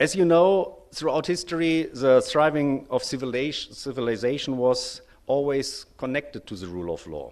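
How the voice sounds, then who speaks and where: With a German accent, a man talks at a moderate pace and a fairly high pitch, with hardly any pauses. His intonation is lively, and his loudness swings a lot. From Germany. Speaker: lawyer, bar association representative. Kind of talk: conference speech. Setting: conference stage with audience. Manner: formal, with frequent hesitations.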